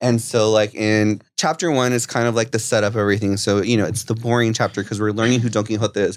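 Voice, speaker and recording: The intonation is fairly even, and the recording is very clean with a silent background. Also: man. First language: Spanish alongside English. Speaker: Spanish teacher. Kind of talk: casual interview.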